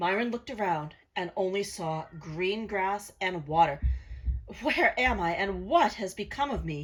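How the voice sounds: The reading voice is natural. That is all there is to it.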